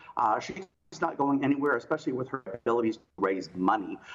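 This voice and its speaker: A man with an American accent speaks at a fairly high pitch. His pace is very fast. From South Carolina. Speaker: political strategist. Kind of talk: interview. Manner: halting.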